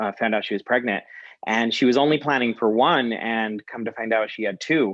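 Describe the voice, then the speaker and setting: A man with a slight Mexican accent speaks at a moderate pace and medium pitch, with ordinary pitch variation. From rural Utah, US. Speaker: guest. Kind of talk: interview. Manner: halting.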